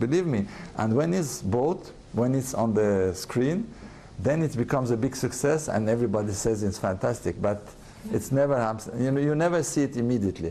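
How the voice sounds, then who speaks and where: With a French accent, a man speaks at a medium pitch and a fairly quick pace, his intonation lively and his loudness very even. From France. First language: French and Russian. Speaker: advertising executive. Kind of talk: interview. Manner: halting.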